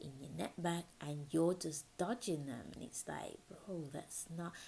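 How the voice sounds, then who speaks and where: A woman speaks at a fairly low pitch and a fairly slow pace. Her tone is dark and mellow, and somewhat breathy. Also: ordinary pitch variation. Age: 20s. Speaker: podcast host. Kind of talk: casual podcast talk. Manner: chatty.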